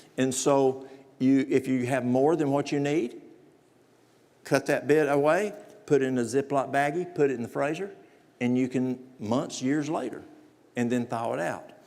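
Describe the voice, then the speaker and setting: Someone speaks in a Southern US accent at a moderate pace, with ordinary pitch variation and long, frequent pauses. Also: man, fairly high pitch for a man. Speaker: natural remedies presenter. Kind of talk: lecture.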